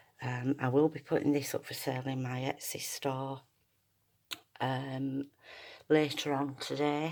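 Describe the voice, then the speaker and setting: Soft-spoken and very deep in pitch, a woman talks in a monotone, flat way with long, frequent pauses. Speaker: junk journal maker and seller. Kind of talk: product showcase tutorial. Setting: at home, early morning. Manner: quiet, soft-spoken; hesitant, many fillers.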